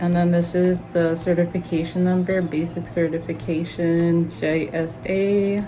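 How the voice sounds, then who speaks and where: A woman's fairly low pitch, fairly even intonation and very even loudness at a fairly slow pace, with audible room echo. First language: Spanish. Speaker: collector YouTuber. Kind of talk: unboxing video.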